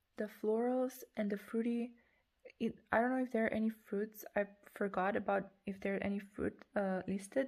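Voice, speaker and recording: A woman with a non-native accent, fairly high pitch and a moderate pace. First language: not English. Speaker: perfume reviewer. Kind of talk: product review. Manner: halting.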